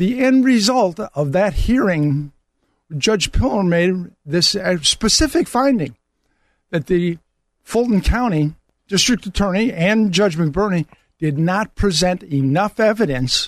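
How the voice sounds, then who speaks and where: A man with a high voice, lively intonation, a fairly slow pace and very even loudness. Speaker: attorney. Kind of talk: talk radio interview. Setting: studio.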